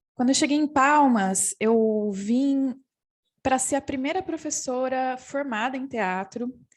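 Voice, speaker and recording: Fairly slow speech in a woman's high voice, its pitch variation ordinary. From interior of São Paulo state, Brazil. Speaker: theatre professor and performance artist. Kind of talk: panel talk. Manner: halting, with self-corrections.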